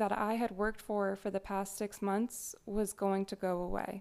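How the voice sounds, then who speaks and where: A woman talks at a moderate pace. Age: 20s. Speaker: esthetician and podcaster. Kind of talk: personal monologue podcast.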